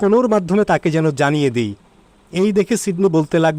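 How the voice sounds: Just a natural reading voice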